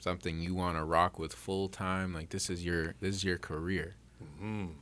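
This is a man speaking. His pace is moderate. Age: 30s. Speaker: podcast host. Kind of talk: casual chat. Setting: studio. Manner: animated.

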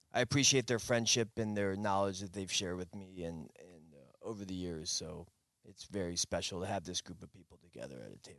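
A man's unremarkable speaking voice, fairly low in pitch with ordinary pitch variation and big swings in loudness, at a fairly quick pace over a quiet background. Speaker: fisherman. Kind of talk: casual chat.

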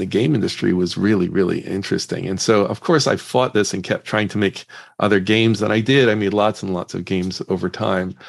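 A man's fairly low-pitched voice with ordinary pitch variation over a quiet background. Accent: American. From Northern Ireland. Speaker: startup CEO and entrepreneur. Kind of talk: casual interview.

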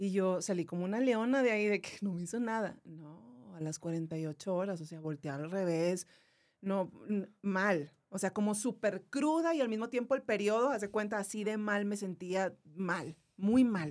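A woman's medium-pitched voice at a moderate pace, with big swings in loudness, in a very clean recording with a silent background. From Monterrey, northern Mexico. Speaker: YouTuber and radio announcer, cancer survivor. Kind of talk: casual interview chat.

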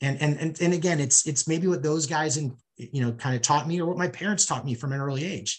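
Somewhat breathy and fairly high-pitched, a man talks at a fairly quick pace with ordinary pitch variation in an American accent. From US Midwest, St. Louis. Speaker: sports business executive. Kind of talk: interview. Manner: repeats words, hesitant starts.

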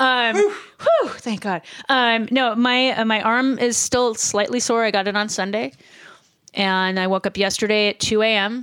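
Speaking in a normal speaking voice, a woman with a fairly high pitch keeps a fairly slow pace, fairly even intonation and very even loudness. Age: 50s. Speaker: podcast co-host. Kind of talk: casual chat.

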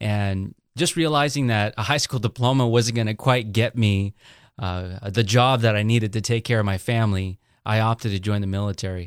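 In a very clean recording with a silent background, a man with an American accent speaks at a moderate pace in an unremarkable speaking voice, fairly low in pitch with ordinary pitch variation. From Salinas, California, US. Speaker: pastor. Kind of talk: interview testimony.

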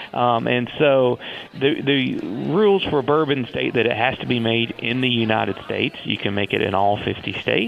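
The speaker has a Southern US accent and a fairly slow pace. Pitch varies in an ordinary way, with noticeable background noise. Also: man. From US South, Tennessee. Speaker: whiskey distiller. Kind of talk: interview.

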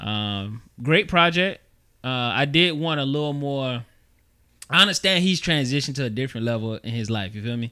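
Here a man speaks at a moderate pace with a medium pitch. His tone is bright and sharp. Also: lively intonation. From New York. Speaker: podcast co-host. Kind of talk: casual chat.

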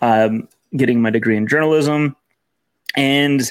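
A man with an American accent and vocal fry, at a fairly slow pace.

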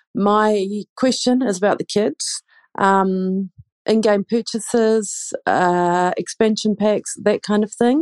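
A woman's fairly high voice in a New Zealand accent, very slow, with fairly even intonation and a dry, close sound free of echo. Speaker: parent. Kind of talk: recorded listener question.

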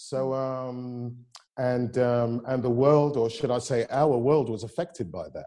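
In a London accent, a man speaks at a fairly slow pace and medium pitch, his tone dark and mellow and his intonation fairly even. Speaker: actor. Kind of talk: panel discussion. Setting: video call.

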